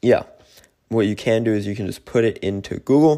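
A man speaks with an American accent at a fairly quick pace. His fairly low voice has a dark, mellow tone and ordinary pitch variation. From Germany. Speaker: podcaster and YouTuber. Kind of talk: casual monologue giving advice. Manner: casual, conversational.

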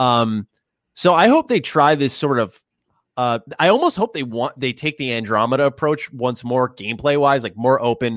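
Recorded very cleanly with a silent background and a dry, close sound with no echo, a man talks at a medium pitch and a fairly quick pace. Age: 20s. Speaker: gaming YouTuber. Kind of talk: casual chat.

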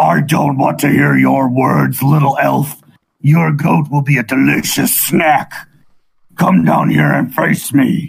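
Fairly slow delivery in a put-on character voice. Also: man, medium pitch for a man. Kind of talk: comic villain voice for children. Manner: taunting, menacing.

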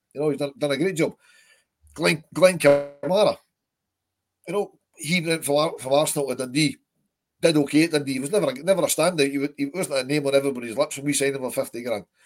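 With a Scottish accent, a man talks very fast in a fairly high pitch with ordinary pitch variation, yet stops for long, frequent pauses. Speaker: football podcast host. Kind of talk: casual chat. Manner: animated.

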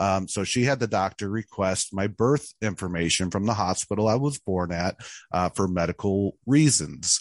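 A man with an American accent at a fairly low pitch, moderate pace and ordinary pitch variation, heard dry and close with no echo against a quiet background. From central Illinois, US Midwest. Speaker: adoptee telling his life story. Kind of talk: interview testimony. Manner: halting, many filler words.

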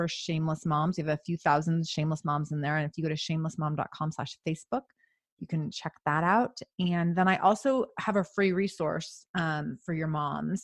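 A woman with a plain, everyday voice and an American accent speaks at a moderate pace, her pitch fairly low with ordinary variation. The sound is dry and close with no echo, against a quiet background. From US Pacific Northwest, Seattle. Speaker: podcaster and coach for mothers. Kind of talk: casual interview.

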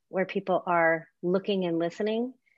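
A woman speaks at a fairly slow pace in a fairly low pitch, with an ordinary speaking voice and ordinary pitch variation. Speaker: podcast host, behavior analyst. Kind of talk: interview.

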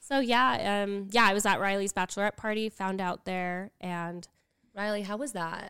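Speaking at a moderate pace with an American accent, a woman with a medium pitch and ordinary pitch variation uses a normal speaking voice in a dry, close sound with no echo. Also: very clean recording, silent background. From Utah. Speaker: podcast co-host, young widowed mother. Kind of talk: casual chat.

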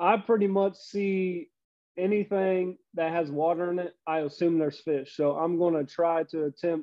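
In a southwest Ohio accent, a man speaks at a high pitch. His pace is moderate and his intonation fairly even. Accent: Midwestern American (southwest Ohio). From US Midwest, Cincinnati, Ohio. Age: 40s. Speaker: fishing YouTuber. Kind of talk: casual chat.

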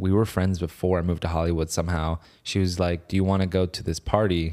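A man talks at a very fast pace in a very deep, low voice. His tone is dark and mellow, and his intonation is fairly even. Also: very clean recording, silent background. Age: 20s. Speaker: actor, former pro wakeboarder. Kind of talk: casual chat.

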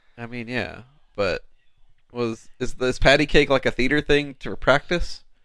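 A man talks at a fairly slow pace with a medium pitch and fairly even intonation. His tone is bright and sharp, with big swings in loudness. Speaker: podcast co-host. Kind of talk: casual chat while watching a movie.

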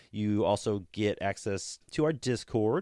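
Here is a man with an ordinary speaking voice. His pitch sits fairly low and varies in an ordinary way. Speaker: podcast host. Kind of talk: casual chat. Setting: remote recording with co-hosts.

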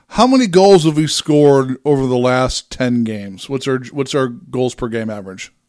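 A man with an unremarkable speaking voice talks at a moderate pace with hardly any pauses. His medium pitch varies in an ordinary way, in a very clean recording with a silent background. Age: 40s. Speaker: hockey podcast co-host. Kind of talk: casual chat.

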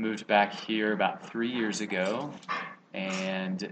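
A man with an American accent and a normal speaking voice talks fairly slowly at a fairly low pitch with fairly even intonation. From Texas, College Station area. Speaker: former athlete and TV writer-producer. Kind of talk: casual interview chat.

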